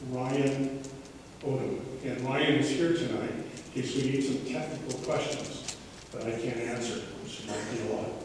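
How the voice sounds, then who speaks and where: A man speaks at a fairly slow pace. There is noticeable background noise and strong room echo. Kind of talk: presentation to residents. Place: hall. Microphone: camera far.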